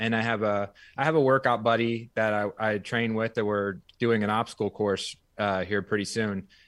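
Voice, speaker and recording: A man with an ordinary speaking voice and an American accent, fairly low in pitch and fairly quick in pace, on a very clean recording with a silent background. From US small town. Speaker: personal trainer and fitness studio owner. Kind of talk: interview.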